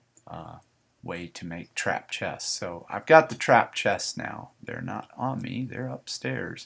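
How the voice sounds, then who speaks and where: A very slow man's voice with big swings in loudness and a slight Southern US accent. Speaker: gaming video creator. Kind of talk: gameplay commentary. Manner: hesitant, many fillers.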